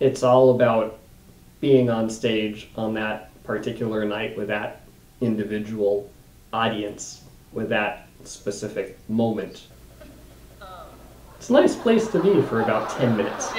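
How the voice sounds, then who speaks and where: With a monotone, flat intonation, a man talks at a fairly slow pace, taking long, frequent pauses as his loudness swings widely. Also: medium pitch for a man. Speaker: stand-up comedian. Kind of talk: interview answer, reflective talk about his comedy. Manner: soft-spoken.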